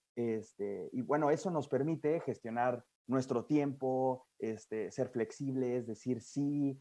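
A man's medium-pitched voice with a dark, mellow tone, ordinary pitch variation and a very slow pace. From Mexico. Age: 20s. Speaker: guest, young industrial engineer. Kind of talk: casual interview. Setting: remote interview from Europe. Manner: halting, frequent repetitions and fillers.

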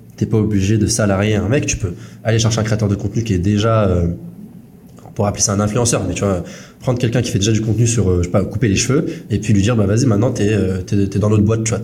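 A man's fairly low, fairly evenly intoned voice at a very fast pace, with audible room echo and noticeable background noise. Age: 20s. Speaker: podcast host, SaaS founder. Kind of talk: casual chat.

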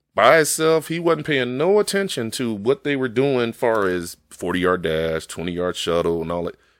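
With an American accent, a man speaks at medium pitch and a moderate pace, making very wide pitch swings on a very clean recording with a silent background. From Chicago. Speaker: football coach. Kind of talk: casual interview.

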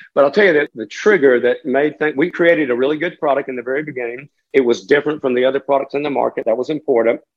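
A man speaks at a very fast pace with an American accent. His pitch is fairly high, with ordinary variation. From western North Carolina (Catawba County). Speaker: business owner. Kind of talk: interview.

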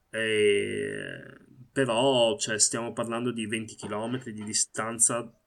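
A man talks very slowly at a medium pitch, his intonation monotone and flat. Long, frequent pauses break up his speech. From Italy. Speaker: Palestinian activist. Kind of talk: interview. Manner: halting.

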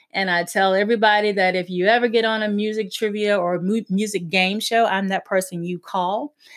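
Speaking fairly quickly with hardly any pauses, a woman in a Southern US accent keeps a medium pitch and a monotone, flat intonation. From US South, South Carolina. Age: 40s. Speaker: podcast host. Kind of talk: casual monologue.

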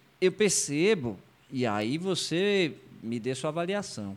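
Very wide pitch swings from a man, captured in a very clean recording against a silent background. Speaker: podcast host. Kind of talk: casual interview chat. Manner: informal.

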